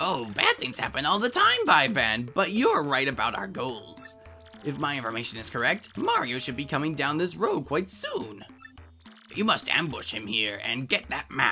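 A put-on character voice, low-to-middle in pitch, with clear music in the background. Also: moderate pace. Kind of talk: comic villain overacting. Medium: fan dub. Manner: haughty, scornful, shrill bursts of cackling.

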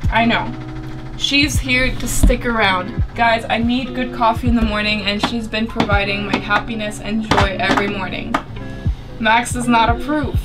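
Loud music plays in the background. Over it, a woman talks at a moderate pace. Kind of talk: casual vlog chat. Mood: cheerful and playful. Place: boat. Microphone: camera far.

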